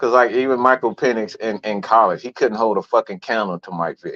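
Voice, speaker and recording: A man talks with an American accent in a dry, close sound that has no echo. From Atlanta, Georgia (US South). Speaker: sports podcast host. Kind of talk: casual sports talk show. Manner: animated; halting, repeats words.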